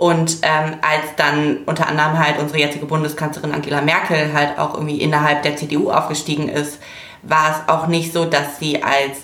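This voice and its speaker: With noticeable background noise behind her, a woman speaks at a moderate pace in a very deep, low pitch. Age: 20s. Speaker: political volunteer from fashion industry. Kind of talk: casual chat.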